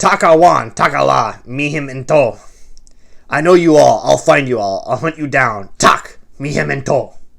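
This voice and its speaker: A man uses a put-on character voice that is guttural and fairly high in pitch. He speaks at a moderate pace. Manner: menacing, threatening.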